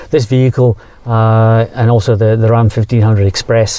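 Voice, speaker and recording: A man speaks in a dark, mellow tone at a medium pitch. His intonation is monotone and flat, and his pace is moderate. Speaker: automotive executive. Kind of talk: interview. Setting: outdoors in countryside. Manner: hesitant, many fillers.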